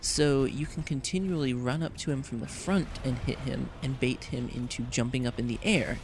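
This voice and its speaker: A man with a somewhat breathy, medium-pitched voice talks with hardly any pauses. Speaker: gaming video creator. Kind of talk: game walkthrough commentary. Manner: casual, many fillers.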